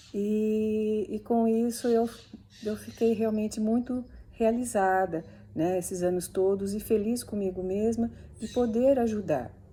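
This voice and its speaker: Very slow and somewhat breathy, a woman's voice has a fairly high pitch, a dark, mellow tone and fairly even intonation. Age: 60s. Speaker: physiotherapist. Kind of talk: instructional talk. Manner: hesitant, with fillers.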